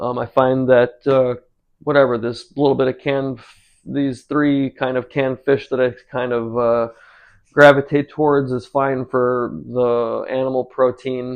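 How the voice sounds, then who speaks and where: Monotone, flat intonation from a medium-pitched man with an American accent, at a fairly slow pace. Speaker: cooking and drawing channel host. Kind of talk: casual vlog chat. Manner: halting, many fillers.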